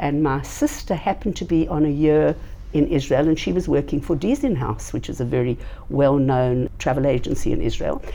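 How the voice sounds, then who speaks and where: A woman with a South African accent speaks at a moderate pace. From South Africa, Johannesburg. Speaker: nonprofit founder. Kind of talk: interview. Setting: in person at organization headquarters.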